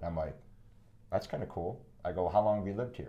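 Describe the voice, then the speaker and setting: This man speaks with an American accent. His voice is somewhat breathy, with a dark, mellow tone. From Wisconsin. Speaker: entrepreneur. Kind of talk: casual interview.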